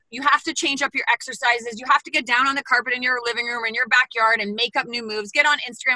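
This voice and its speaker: A woman with a high voice talks very fast in a raised, projected, animated way, her tone bright and sharp, with ordinary pitch variation and a dry, close sound free of echo. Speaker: bootcamp trainer. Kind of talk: panel discussion.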